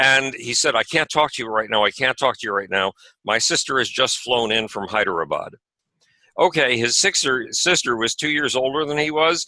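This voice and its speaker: A man with an American accent, bright and sharp in tone, in a dry, close sound with no echo. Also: medium pitch for a man, ordinary pitch variation, moderate pace. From USA. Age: 70s. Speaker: author and space advocate. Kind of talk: interview conversation. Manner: animated.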